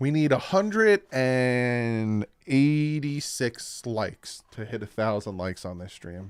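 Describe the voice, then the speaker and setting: His speech comes at a very slow pace with hardly any pauses. The man's medium-pitched voice has lively intonation. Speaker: sports fan streamer. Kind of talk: live stream reaction. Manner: casual, thinking aloud with fillers; stutters when reading aloud.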